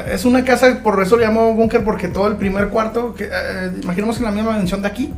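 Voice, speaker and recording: A man with a high pitch talks at a fairly quick pace with hardly any pauses, his intonation monotone and flat. Noticeable background noise and audible room echo are present. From Chihuahua city, northern Mexico. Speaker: mariachi singer. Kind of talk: casual chat.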